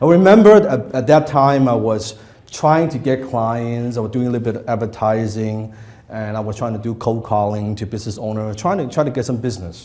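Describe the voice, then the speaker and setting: Audible room echo surrounds a man who speaks at a fairly quick pace with a medium pitch and ordinary pitch variation. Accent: non-native. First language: not English. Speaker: copywriting trainer. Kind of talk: workshop lecture to live audience. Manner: conversational, interactive with audience.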